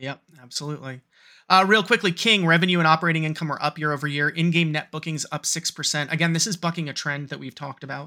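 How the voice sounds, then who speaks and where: Speaking very fast with an American accent, a man uses a fairly high, bright, sharp voice, fairly even intonation, and big swings in loudness. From US Northeast (New York metro area). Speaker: podcast co-host. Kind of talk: casual chat. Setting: remote recording.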